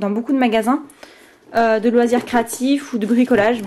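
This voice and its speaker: A woman is speaking. Her voice sits high in pitch. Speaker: craft YouTuber. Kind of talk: show-and-tell tutorial. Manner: fast; hesitant, many fillers.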